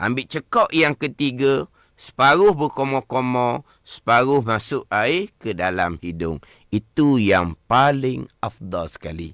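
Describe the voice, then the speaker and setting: Talking very slowly with a slight Terengganu accent, a man keeps a medium pitch that swings very widely. The sound is dry and close, with no echo. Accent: Terengganu Malay, slight. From Malaysia, Terengganu. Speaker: religious teacher. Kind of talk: religious lesson on radio. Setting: radio studio.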